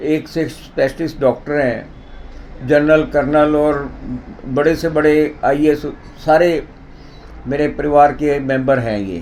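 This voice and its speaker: A man speaks while noticeable background noise can be heard. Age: 60s. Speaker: president of a yoga society. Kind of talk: interview testimony.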